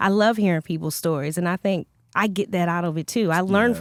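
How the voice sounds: A woman speaks with a Baltimore accent at a fairly quick pace, with ordinary pitch variation. The recording is very clean with a silent background, dry and close with no echo. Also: fairly low pitch for a woman.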